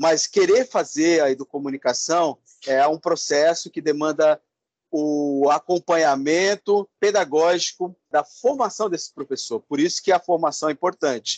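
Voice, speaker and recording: With an ordinary speaking voice, a man talks at a fairly slow pace in a fairly high pitch with ordinary pitch variation, the sound dry and close with no echo. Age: 50s. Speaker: educator and project coordinator. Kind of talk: interview. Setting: video call.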